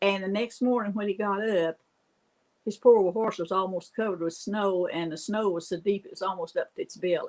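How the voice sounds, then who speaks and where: Fairly even intonation runs through this fairly quick speech. It comes in an Appalachian accent. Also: woman, medium pitch for a woman. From US Appalachia. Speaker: storyteller. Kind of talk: casual storytelling.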